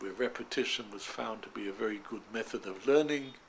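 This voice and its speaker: Here a man talks in a London accent. His pitch is medium, with ordinary pitch variation. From East End of London. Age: 90s; old. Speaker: retired doctor. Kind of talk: interview answer.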